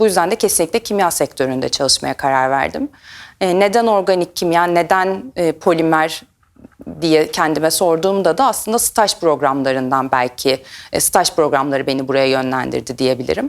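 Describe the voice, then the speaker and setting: Her loudness stays very even from start to finish. The woman's pitch is fairly low, and her intonation is lively. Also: moderate pace. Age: 30s. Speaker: chemist, R&D team lead. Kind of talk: career talk to camera. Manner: hesitant fillers.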